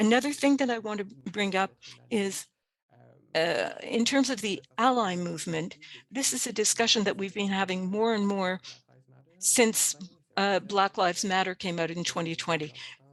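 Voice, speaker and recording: Long, frequent pauses break up a woman's moderately paced speech, which shows ordinary pitch variation. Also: medium pitch for a woman. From Canada, Cree First Nation. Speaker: webinar presenter. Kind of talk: webinar presentation.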